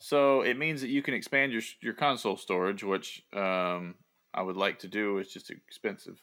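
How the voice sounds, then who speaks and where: A man's fairly low voice with a bright, sharp tone. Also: ordinary pitch variation, moderate pace, very clean recording, silent background. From US South. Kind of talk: casual chat.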